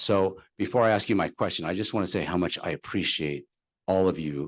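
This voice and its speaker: Against a quiet background, a man with an American accent speaks in a very deep, low pitch with ordinary pitch variation. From Southern California. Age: 60s. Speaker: local resident. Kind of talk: public comment.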